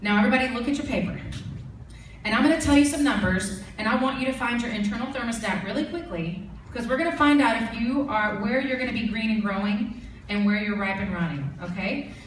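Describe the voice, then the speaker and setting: A woman with a fairly high pitch talks at a very fast pace, her tone animated and her intonation lively. Noticeable background noise and audible room echo surround her voice. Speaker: network marketing team leader and trainer. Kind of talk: training presentation to an audience.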